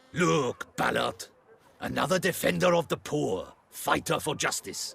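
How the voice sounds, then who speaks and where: Using a put-on character voice, a man speaks at a moderate pace. His pitch is fairly high. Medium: video game.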